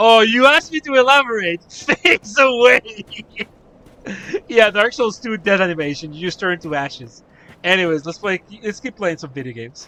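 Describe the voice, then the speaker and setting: A man with a high pitch uses a raised, projected voice at a moderate pace, his pitch swinging very widely. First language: Spanish. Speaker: gaming streamer. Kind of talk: live stream commentary. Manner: casual, stammering.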